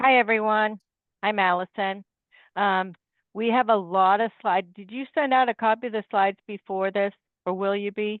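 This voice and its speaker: In a plain, everyday voice, a woman talks at a moderate pace and medium pitch with fairly even intonation. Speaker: independent insurance agent. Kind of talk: webinar presentation.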